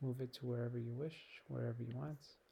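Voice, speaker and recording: Soft-spoken and somewhat breathy, a man talks in a flat monotone at a medium pitch, his tone dark and mellow. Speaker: teacher. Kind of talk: software tutorial.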